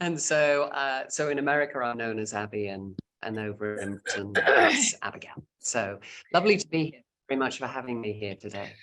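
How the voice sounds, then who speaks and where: Talking fairly quickly with lively intonation, a woman with a British accent has a very deep, low pitch. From England, Cheshire. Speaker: radio news anchor and tour director. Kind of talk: casual chat.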